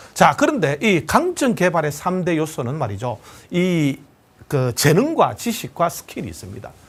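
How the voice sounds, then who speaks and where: Using vocal fry and very wide pitch swings, a man speaks in a confident tone at a fairly slow pace. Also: fairly high pitch for a man. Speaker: lecturer. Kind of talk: lecture.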